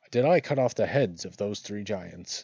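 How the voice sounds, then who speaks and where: At a moderate pace, a man uses a put-on character voice at a medium pitch. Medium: game stream.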